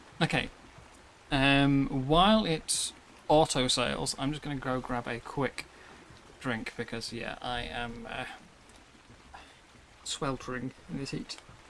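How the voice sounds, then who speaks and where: Long, frequent pauses in an English accent, over noticeable background noise. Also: fairly slow pace. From England. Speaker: streamer. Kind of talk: live gameplay stream.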